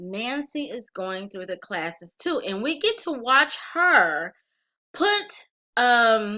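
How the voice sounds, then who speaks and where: Over a quiet background, a bright, sharp, animated voice jumps through very wide pitch swings. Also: woman. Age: 40s. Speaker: online teacher, crystal healing. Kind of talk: casual online class. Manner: stuttering at times.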